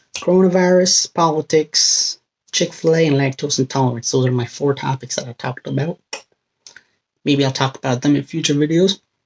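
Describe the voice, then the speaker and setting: Quiet speech at a moderate pace, with ordinary pitch variation, is captured with a dry, close sound and no echo. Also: man. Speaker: vlogger. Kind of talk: casual vlog monologue. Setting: home bedroom. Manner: speaking quietly.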